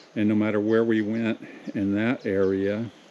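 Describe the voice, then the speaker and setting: A man with an American accent speaks at a fairly low pitch and a fairly slow pace. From Southern California. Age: 60s. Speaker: vlogger. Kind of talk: casual monologue. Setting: pacing around while talking. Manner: halting.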